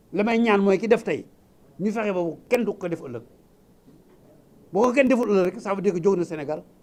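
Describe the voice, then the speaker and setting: A man's high-pitched voice at a fairly quick pace, with ordinary pitch variation and long, frequent pauses. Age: 80s+. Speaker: lawyer and politician. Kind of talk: public speech.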